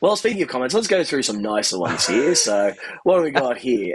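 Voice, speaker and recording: A man with an Australian accent, fairly quick in pace, with very wide pitch swings. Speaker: amp repair technician and channel host. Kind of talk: casual chat. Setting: live stream.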